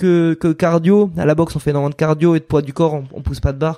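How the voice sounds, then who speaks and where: Recorded very cleanly with a silent background, a man speaks in a dark, mellow tone at a fairly high pitch. His intonation is fairly even and his pace fairly quick. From southwestern France, Landes. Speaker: professional mountain bike rider. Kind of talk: casual interview. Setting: at his home training ground.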